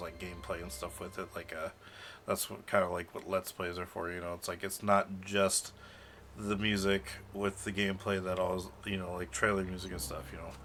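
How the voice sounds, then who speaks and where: A man's very deep, low voice at a fairly quick pace, fairly even in intonation, with big swings in loudness and music in the background. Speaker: game master of tabletop roleplaying stream. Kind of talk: livestream chat. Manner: fast; hesitant, many fillers.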